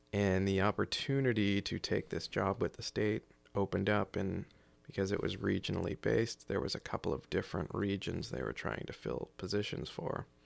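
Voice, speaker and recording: A man with an American accent, fairly low pitch, vocal fry, lively intonation, and a fairly quick pace, in a dry, close, very clean recording with no echo and a silent background. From South Carolina, near Charleston. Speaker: emergency management coordinator and military reservist. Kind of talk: interview conversation. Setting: studio.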